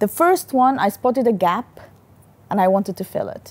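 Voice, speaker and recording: The woman's tone is dark and mellow, with a non-native accent. She moves at a moderate pace. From Sudan. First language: not English. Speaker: company founder and CEO. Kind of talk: interview.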